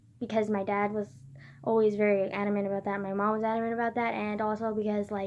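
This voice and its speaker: A woman is soft-spoken. She talks at a fairly quick pace. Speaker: vlogger. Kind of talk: casual personal vlog.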